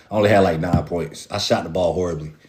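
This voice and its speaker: A man's very deep, low voice at a very fast pace, noticeable background noise. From North Carolina, Raleigh. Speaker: basketball fan show host. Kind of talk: casual livestream chat. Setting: livestream with viewer comments.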